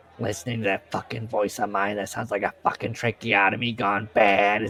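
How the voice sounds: The clip is in a natural reading voice.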